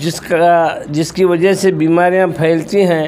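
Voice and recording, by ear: A man with a fairly high voice and a slightly mellow tone talks at a fairly slow pace. There is little pitch movement, with faint background noise behind him.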